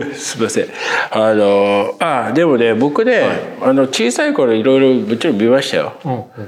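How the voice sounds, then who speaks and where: A man speaks at medium pitch and a moderate pace. Noticeable background noise runs behind him. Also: ordinary pitch variation. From Tokyo, Ota ward (Kamata). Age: 50s. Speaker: film critic podcast co-host. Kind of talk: casual interview chat.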